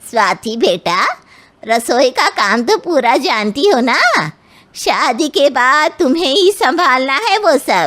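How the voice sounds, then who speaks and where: Using a cartoonish character voice, a woman speaks high and fairly slowly, her pitch swinging very widely while her loudness stays very even. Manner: bossy, patronizing.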